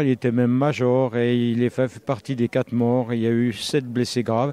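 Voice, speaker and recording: The pace of this man's speech is moderate. His tone is dark and mellow. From Burgundy, France. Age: 70s. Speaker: author and retired teacher. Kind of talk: interview. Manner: hesitant, many fillers.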